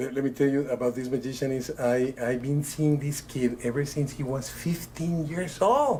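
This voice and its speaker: A man with a strong non-native accent speaks at a moderate pace in a medium pitch, with fairly even intonation and hardly any pauses. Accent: thick foreign. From Italy (Bologna). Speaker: magician. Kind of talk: casual chat. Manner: halting.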